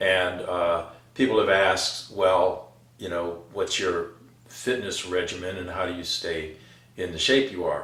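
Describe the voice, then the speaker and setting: Through audible room echo, a man with an American accent speaks at a fairly slow pace. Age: 70s. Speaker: Vietnam combat veteran, fitness channel host. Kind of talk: casual talk to camera, fitness advice. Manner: frequent fillers and hesitations.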